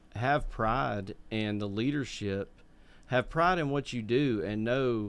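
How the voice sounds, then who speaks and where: A man with an Alabama accent at a fairly slow pace. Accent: US South, Alabama. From Birmingham, Alabama. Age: 30s. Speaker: podcast co-host. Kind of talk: podcast interview.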